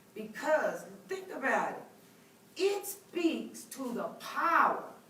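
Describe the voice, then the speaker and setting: Audible room echo surrounds a woman speaking with an American accent. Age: 50s. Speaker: professor. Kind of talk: lecture. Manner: conversational, many filler words.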